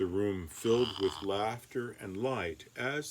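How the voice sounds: Ordinary pitch movement in a natural reading voice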